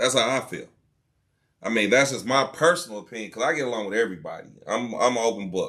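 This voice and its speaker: A loud man's voice with a bright, sharp tone, at a very fast pace. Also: medium pitch for a man, ordinary pitch variation. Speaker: podcast host. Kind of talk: casual chat.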